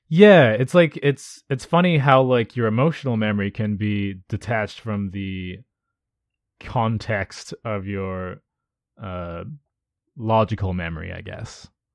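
With a fairly low pitch and an unremarkable speaking voice, a man talks at a fairly slow pace using lively intonation against a quiet background. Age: 20s. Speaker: slam poet and podcast co-host. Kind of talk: casual chat.

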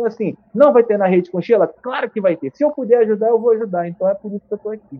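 The voice is loud, with ordinary pitch variation. It moves at a very fast pace. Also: man, high pitch for a man. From Brazil, Rio de Janeiro state (Niterói, Serra region). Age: 30s. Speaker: journalist. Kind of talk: casual interview.

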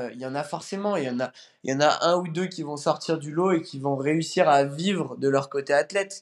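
Against a quiet background, a man with an unremarkable speaking voice talks at a fairly quick pace, his fairly high pitch moving with ordinary variation. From France, near Lyon. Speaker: CrossFit athlete. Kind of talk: casual interview.

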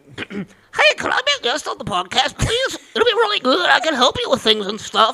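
The put-on character voice is high in pitch. It moves at a moderate pace with hardly any pauses. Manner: mocking, whiny, overly eager.

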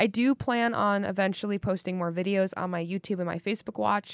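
A woman speaks in a plain, everyday voice, medium in pitch with ordinary pitch variation, at a moderate pace. The recording is very clean with a silent background and a dry, close sound with no echo. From US Midwest (Wisconsin). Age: 20s. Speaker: podcast host. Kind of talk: solo monologue, casual. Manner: filler-heavy, relaxed.

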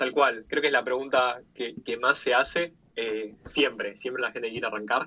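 He has a normal speaking voice pitched at medium. The man's moderate pace comes with fairly even intonation. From Argentina. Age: 20s. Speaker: product designer and UX/UI teacher. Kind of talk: interview.

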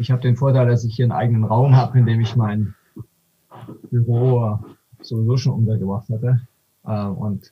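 With a dark, mellow, somewhat breathy tone, a man speaks at medium pitch in a monotone, flat delivery broken by long, frequent pauses. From Swabia, Württemberg (Aalen), Germany. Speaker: economist. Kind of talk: casual interview conversation. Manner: halting, many fillers and restarts.

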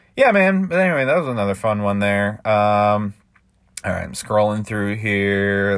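A man's fairly low-pitched, normal speaking voice at a fairly slow pace. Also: very clean recording, silent background. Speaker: podcast host and amateur poet. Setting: home recording. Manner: relaxed, chatty, filler-heavy, laughing.

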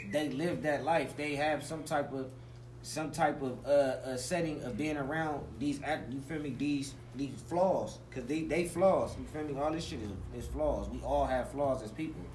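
This man has an unremarkable speaking voice with an American accent and a fairly high pitch. He speaks at a moderate pace with fairly even intonation. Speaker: rapper. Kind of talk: casual interview.

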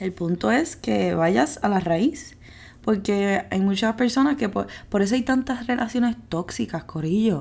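A woman's medium-pitched, somewhat breathy voice, with very wide pitch swings and very even loudness, on a very clean recording with a silent background. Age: 20s. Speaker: podcast host. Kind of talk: casual solo podcast monologue. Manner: animated, playful with laughter.

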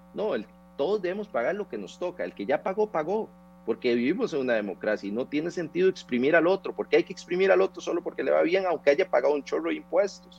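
A man's high-pitched voice with a Costa Rican accent, lively intonation and a very fast pace. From Costa Rica, Turrialba. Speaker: tax lawyer. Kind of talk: radio interview. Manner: animated.

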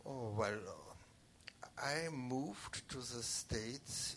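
At a very slow pace, a man talks at a medium pitch with ordinary pitch variation. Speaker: guest's husband. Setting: stage with audience. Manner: halting.

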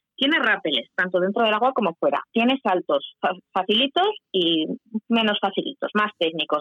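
This woman talks at a moderate pace in a fairly high pitch with very wide pitch swings. Her loudness stays very even. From Huesca, Spain. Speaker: canyoning guide. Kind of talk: radio interview.

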